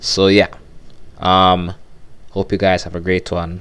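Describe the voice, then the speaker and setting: A man with a Jamaican accent talks at a very slow pace. His pitch is very deep and low. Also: very clean recording, silent background. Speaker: youtuber and podcaster. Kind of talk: casual reaction commentary.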